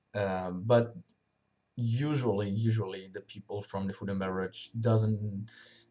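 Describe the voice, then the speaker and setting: Talking at a fairly slow pace, a man has a fairly low pitch and a dark, mellow tone. He speaks with a non-native accent and fairly even intonation. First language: not English. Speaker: vlogger reviewing a work program. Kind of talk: unscripted video review. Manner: halting, many fillers.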